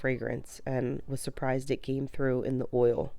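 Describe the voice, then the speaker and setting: Fairly even in intonation, a woman speaks at a moderate pace with a very deep, low pitch and a dark, mellow tone. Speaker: homesteading vlogger. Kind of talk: tutorial voiceover. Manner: casual, hesitant fillers.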